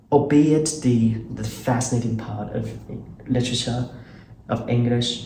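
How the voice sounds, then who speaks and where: A man with a Chinese accent speaks at a medium pitch in a dark, mellow tone, somewhat breathy and with fairly even intonation. His pace is fairly slow with long, frequent pauses, and audible room echo surrounds him. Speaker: channel host, interviewer. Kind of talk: casual conversation.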